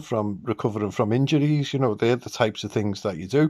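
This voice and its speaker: Over a quiet background, a man with a British accent speaks with lively intonation. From England. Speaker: vlogger. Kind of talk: casual monologue. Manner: animated, excitable. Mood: upbeat, enthusiastic. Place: home room. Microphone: phone near.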